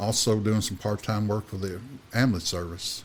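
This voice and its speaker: A man with a fairly low pitch speaks with a Kentucky accent. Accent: Kentucky Southern. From Kentucky, Washington County. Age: 60s. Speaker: insurance agent and turkey conservation volunteer. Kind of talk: casual interview chat. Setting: studio. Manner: halting, many fillers.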